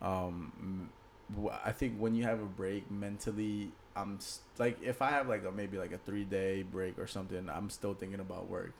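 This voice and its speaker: A man with a normal speaking voice, a fairly low pitch, and an American accent at a moderate pace. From Maryland / D.C. area. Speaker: podcast co-host. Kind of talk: casual chat.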